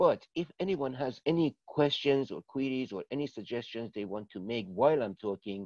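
A man at a moderate pace, dry sound with no echo, quiet background. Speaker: presenter. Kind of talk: informal session introduction to online audience. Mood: relaxed, friendly. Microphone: video call.

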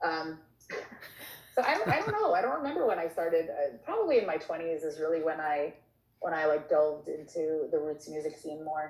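With an American accent, a woman with a very deep, low pitch speaks at a moderate pace, her intonation fairly even and her pauses long and frequent. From Long Island, New York. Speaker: singer-songwriter. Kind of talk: casual interview.

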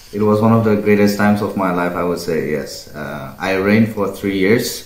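Very deep and low in pitch, a man's voice carries fairly even intonation with audible room echo. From Northeast India. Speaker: pageant winner. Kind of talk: casual interview. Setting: video call. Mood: calm, friendly. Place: home room.

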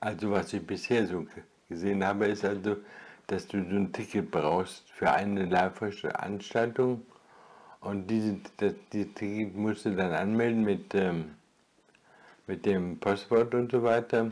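A man with a fairly low pitch speaks at a fairly slow pace with fairly even intonation. He leaves long, frequent pauses. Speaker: retired video blogger; vlogger. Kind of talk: solo vlog monologue; casual vlog chat. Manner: halting. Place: home room.

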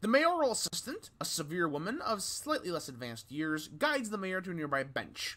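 The clip is read aloud in a natural voice.

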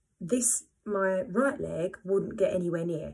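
A woman's somewhat breathy voice at medium pitch, with ordinary pitch variation and a quiet background. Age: 30s. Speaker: pole dancer and vlogger sharing scoliosis experience; vlogger sharing scoliosis experience. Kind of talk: personal testimony to camera. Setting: home video, first vlog. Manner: hesitant, many fillers. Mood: earnest, encouraging. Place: home room. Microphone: phone near.

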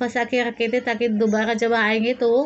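A woman talks at a fairly slow pace. Her voice is high-pitched. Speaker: teacher. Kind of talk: lesson explanation. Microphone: phone near.

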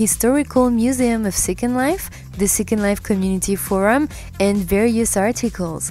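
Over music in the background, a woman with a French accent speaks at a moderate pace and medium pitch with ordinary pitch variation. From France. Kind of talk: documentary narration.

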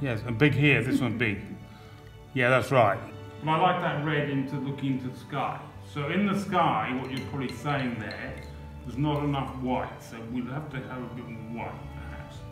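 A man speaks at a moderate pace with ordinary pitch variation and big swings in loudness, while clear music plays in the background and the room echo is audible. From Australia. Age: 60s. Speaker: artist, stroke survivor with aphasia. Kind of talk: documentary interview answer. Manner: halting, word-finding pauses.

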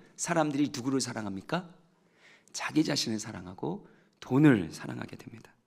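A man speaks with vocal fry and very wide pitch swings, pausing long and often. The background is quiet. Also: medium pitch for a man, moderate pace. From South Korea. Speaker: pastor. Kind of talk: sermon. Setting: church. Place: church. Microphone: headset.

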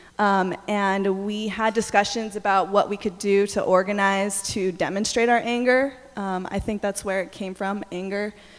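Over music in the background, a woman speaks at a moderate pace with monotone, flat intonation. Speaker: student activist. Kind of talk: panel discussion. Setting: stage with audience. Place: hall. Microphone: handheld.

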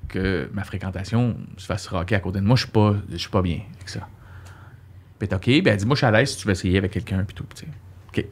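In an ordinary speaking voice, a man talks at a fairly quick pace in a fairly low pitch with ordinary pitch variation. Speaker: comedian. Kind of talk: casual chat. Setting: studio. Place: studio. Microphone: studio mic.

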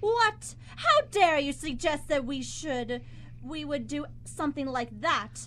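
A woman does a put-on character voice with a high pitch and a fairly bright tone. Her intonation is lively and her pace slow.

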